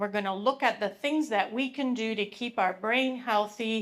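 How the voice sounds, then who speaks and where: At a moderate pace, a woman with a Canadian accent talks in a fairly high pitch with ordinary pitch variation. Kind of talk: public presentation. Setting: live event with audience, microphone. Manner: loud; animated.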